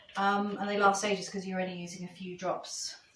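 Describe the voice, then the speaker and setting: Noticeable background noise and audible room echo surround a woman speaking at a medium pitch with fairly even intonation. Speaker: soap maker demonstrating a recipe. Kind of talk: tutorial. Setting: chapel venue used as a kitchen.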